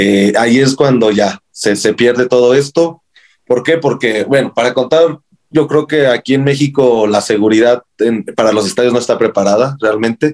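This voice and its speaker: A man with a Mexican accent at medium pitch and moderate pace, ordinary pitch variation, very even loudness, and a dry, close sound with no echo. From Mexico, Morelia. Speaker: football fan. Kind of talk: casual interview. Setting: podcast. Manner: halting, many repetitions.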